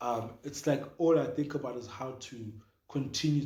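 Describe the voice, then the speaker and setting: A man's dark, mellow tone at a fairly slow pace, with audible room echo. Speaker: podcast co-host. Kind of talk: casual chat. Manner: loud.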